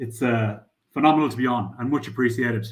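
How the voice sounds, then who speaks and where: Bright and sharp in tone, a man talks at a fairly quick pace and medium pitch with ordinary pitch variation, and audible room echo around him. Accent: strong Irish. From Ireland. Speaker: crypto startup founder. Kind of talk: interview.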